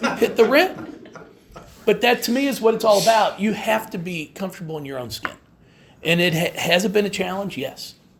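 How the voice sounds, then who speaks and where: A man's high, lively voice at a moderate pace over noticeable background noise. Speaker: women's basketball head coach. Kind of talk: press conference. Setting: media day press room. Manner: halting, repeated words.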